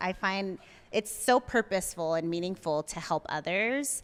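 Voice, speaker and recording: A woman with a Spanish accent speaks at a fairly low pitch in a dry, close recording with no echo, very clean and with a silent background. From US, Mexican-American family. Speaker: therapist and coffee shop founder. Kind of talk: podcast interview.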